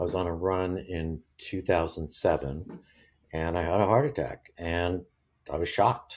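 A man speaks in a very deep, low pitch at a fairly slow pace. The recording is very clean, with a silent background. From born in England, raised in US and Germany. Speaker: retired TV executive and runner. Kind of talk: interview. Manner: hesitant, many fillers.

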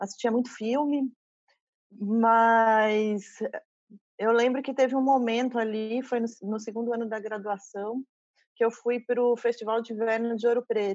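A woman's fairly high voice, flat and monotone, at a fairly slow pace with long, frequent pauses. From interior of São Paulo state, Brazil (São José dos Campos). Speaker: curator and university professor. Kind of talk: interview.

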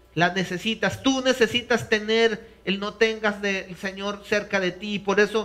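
At a very slow pace, a man speaks in a raised, projected voice with a bright, sharp tone. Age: 50s. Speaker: pastor. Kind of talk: sermon. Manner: halting.

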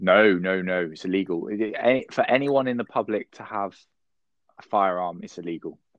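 A man speaks in a very deep, low pitch with ordinary pitch variation. His loudness swings widely, and he leaves long, frequent pauses. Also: moderate pace. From England. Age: 30s. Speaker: letting agent, business owner. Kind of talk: casual interview. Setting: remote video call.

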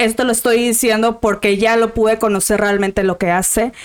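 A woman's fairly high voice moves at a moderate pace over noticeable background noise. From Monterrey, northern Mexico. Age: 20s. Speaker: lawyer. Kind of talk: casual interview.

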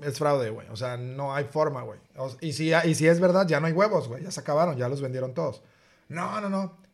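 A somewhat breathy man at a fairly high pitch, talking at a fairly quick pace with ordinary pitch variation. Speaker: podcast co-host. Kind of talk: casual chat.

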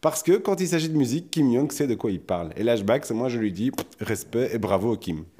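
Lively in intonation, a man speaks at a medium pitch with a dark, mellow tone. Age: 40s. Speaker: podcast co-host. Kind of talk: casual chat.

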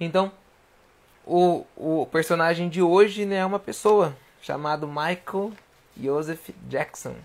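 A man's high-pitched voice at a very slow pace with long, frequent pauses. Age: 20s. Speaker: livestream host. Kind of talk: casual livestream talk. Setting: at home. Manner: animated.

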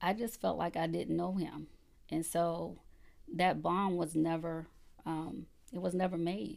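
A woman with a Southern US accent, fairly slow pace, and long, frequent pauses. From South Carolina (Conway). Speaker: political candidate. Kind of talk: interview. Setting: studio.

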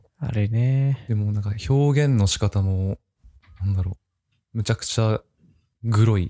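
A man's fairly low, dark, mellow voice at a moderate pace, with ordinary pitch variation and long, frequent pauses, in a dry, close sound with no echo. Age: 20s. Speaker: office worker. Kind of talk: casual chat.

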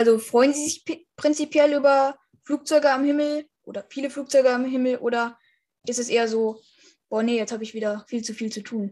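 With a dark, mellow tone and fairly even intonation, the voice moves at a fairly quick pace through big swings in loudness. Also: woman, high pitch for a woman. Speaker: podcast host. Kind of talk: interview.

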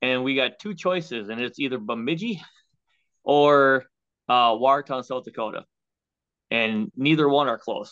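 Here a man with an Upper Midwest accent talks at medium pitch and a moderate pace. He uses ordinary pitch variation and long, frequent pauses. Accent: Upper Midwest (Minnesota). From Minnesota (Waconia). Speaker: stock car racer and landscaper. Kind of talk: casual interview. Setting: video call.

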